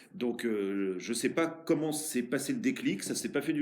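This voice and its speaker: Moderately paced speech rings with audible room echo. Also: man. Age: 40s. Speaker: mayor. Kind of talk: interview. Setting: office. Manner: hesitant, many fillers.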